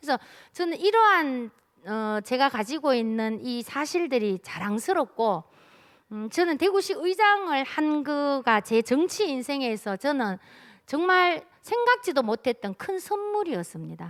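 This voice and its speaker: A woman with a Daegu accent and a high pitch, fairly slow, with very wide pitch swings, in a dry, close sound with no echo. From South Korea, Daegu. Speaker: city council member. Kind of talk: keynote speech at policy forum.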